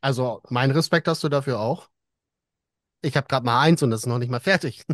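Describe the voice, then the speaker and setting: A man with a normal speaking voice, medium pitch and ordinary pitch variation talks at a fairly quick pace. The sound is dry and close with no echo, set against a quiet background. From northern Germany. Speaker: podcast host. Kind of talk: casual chat.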